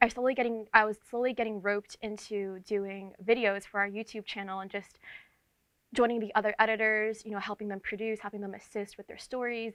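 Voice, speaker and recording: A woman speaks at a fairly quick pace and fairly high pitch, her loudness swinging widely. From New York tri-state area. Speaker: entertainment editor. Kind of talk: interview. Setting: video shoot with camera crew. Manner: fast; energetic.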